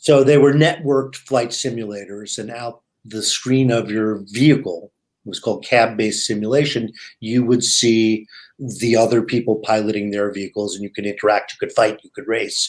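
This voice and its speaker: A man with a normal speaking voice talks at a medium pitch with fairly even intonation and big swings in loudness. The recording is very clean, with a silent background. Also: moderate pace. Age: 60s. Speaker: VR/AR writer and teacher, former media executive. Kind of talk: interview. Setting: live podcast.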